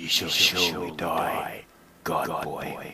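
Raspy put-on character voice from a man, at a very slow pace. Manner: snarling, threatening.

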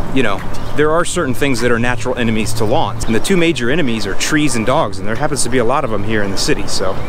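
Noticeable background noise sits under a man talking at a very fast pace. His pitch varies in an ordinary way, and the sound is dry with no echo. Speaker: lawn care educator. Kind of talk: casual walk-and-talk to camera. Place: street. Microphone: phone near.

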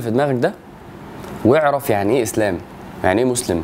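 A man rattles through his words at a very fast pace over light background noise. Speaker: religious teacher. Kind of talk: lecture. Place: home room.

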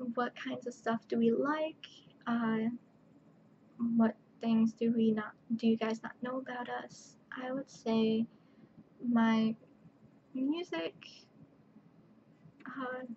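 Soft-spoken woman with a fairly high pitch and a dark, mellow tone, very slow pace, fairly even intonation, long, frequent pauses and light background noise. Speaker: vlogger. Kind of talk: casual chat. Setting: at home at night. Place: home room. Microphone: webcam.

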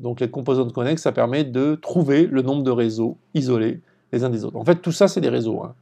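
Using a dark, mellow tone at a medium pitch, a man talks at a moderate pace with ordinary pitch variation. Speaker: lecturer. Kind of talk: lecture. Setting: screen-share tutorial video. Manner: didactic, explanatory.

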